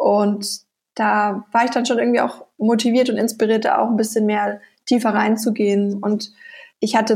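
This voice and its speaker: A somewhat breathy voice with monotone, flat intonation. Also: woman. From Bavaria, Nuremberg (Franconia). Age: 20s. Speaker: online shop founder. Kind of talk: interview.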